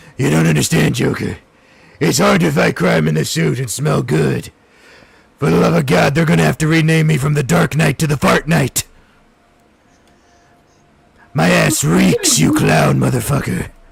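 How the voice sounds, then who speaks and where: A put-on character voice from a man, very deep and low, gravelly and raspy, at a moderate pace with long, frequent pauses. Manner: gruff, complaining.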